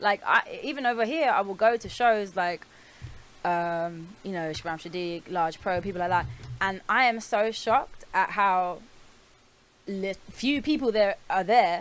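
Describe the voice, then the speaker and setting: With a North London accent, a woman speaks at a fairly slow pace with lively intonation. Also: medium pitch for a woman. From North London, Archway. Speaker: rapper. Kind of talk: casual chat.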